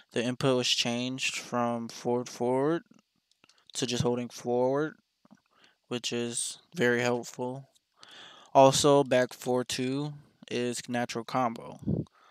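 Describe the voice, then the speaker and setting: The recording is very clean with a silent background. A man speaks very slowly at a medium pitch in a flat monotone, with long, frequent pauses. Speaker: fighting game player and guide maker. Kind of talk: tutorial. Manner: casual.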